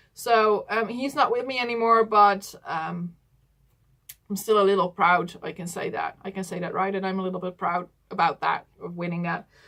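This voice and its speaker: The voice has a Dutch accent and a bright, sharp tone. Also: woman. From Netherlands. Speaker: doll collector YouTuber. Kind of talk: casual vlog talk to camera. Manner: hesitant, many fillers.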